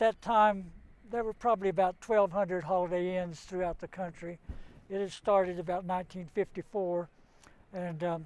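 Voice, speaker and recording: Flat and monotone, a man's voice sits at a high pitch. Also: moderate pace. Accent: Southern Appalachian. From western North Carolina, Cherokee area. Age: 80s+. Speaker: business owner. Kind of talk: interview.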